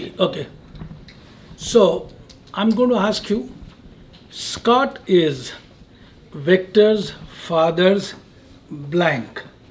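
A man's high-pitched voice with a non-native accent, lively in intonation, at a very slow pace with long, frequent pauses. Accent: foreign. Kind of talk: casual chat. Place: shop.

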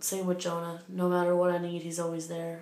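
A woman's speech comes at a moderate pace, with room echo clearly audible. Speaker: vlogger. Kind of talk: casual vlog chat. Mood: warm, reflective. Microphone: phone near.

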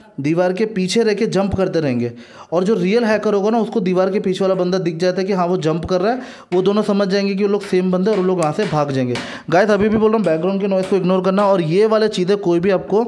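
His voice sits high for a man. The pitch rises and falls in an ordinary way. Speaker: gaming YouTuber. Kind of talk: casual video monologue.

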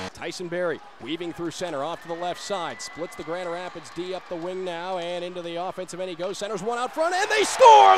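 This man speaks with an energetic tone. There is noticeable background noise. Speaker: hockey play-by-play announcer. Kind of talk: live sports play-by-play commentary. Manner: fast, energetic.

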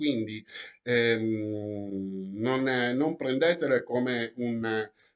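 The background stays quiet as a man speaks. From Italy. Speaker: YouTuber. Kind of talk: vlog commentary reading news articles. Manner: animated.

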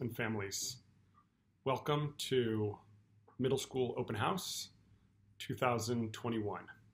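Somewhat breathy, the man keeps his intonation fairly even. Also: long, frequent pauses. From California. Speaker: school principal. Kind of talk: welcome address to parents. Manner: formal. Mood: warm, welcoming. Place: office. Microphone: webcam.

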